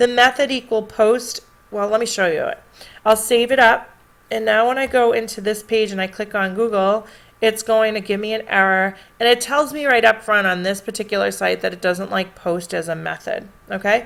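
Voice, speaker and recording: A woman with a normal speaking voice talks at a moderate pace, her pitch fairly high and its variation ordinary. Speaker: teacher. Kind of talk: tutorial.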